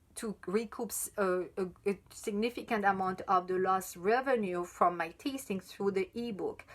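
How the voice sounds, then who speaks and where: A woman with a French accent speaks at medium pitch with ordinary pitch variation. She keeps a moderate pace with hardly any pauses. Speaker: chocolate sommelier and writer. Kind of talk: live stream Q&A. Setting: live video stream. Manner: halting, many fillers and restarts.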